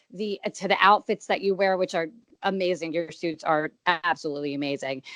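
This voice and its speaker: A woman speaks in a plain, everyday voice, fairly low in pitch with ordinary pitch variation, at a fairly quick pace, the sound dry and close with no echo. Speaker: interviewer for an MMA website. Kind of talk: interview questions.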